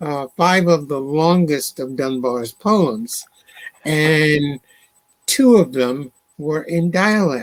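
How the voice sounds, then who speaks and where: Speaking with an American accent at a very slow pace, a man uses a fairly high pitch and ordinary pitch variation. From Alabama, US South. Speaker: poet and librettist. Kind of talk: interview conversation.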